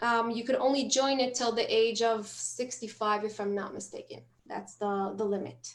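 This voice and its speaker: A woman's fairly high-pitched voice in a non-native accent, with monotone, flat intonation. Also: moderate pace. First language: not English. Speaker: health clinic staff. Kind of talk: webinar Q&A. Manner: halting.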